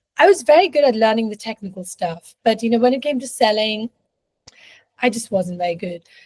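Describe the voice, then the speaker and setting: Recorded dry and close with no echo, a woman talks fairly quickly in a somewhat breathy, fairly high voice, with lively intonation and big swings in loudness. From India. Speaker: leadership and life coach. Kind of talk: interview conversation.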